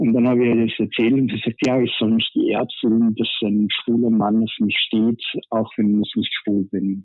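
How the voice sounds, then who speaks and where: This man speaks at a moderate pace and medium pitch with very even loudness. His intonation is monotone and flat. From Styria, Austria. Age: 40s. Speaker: caller. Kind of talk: casual chat.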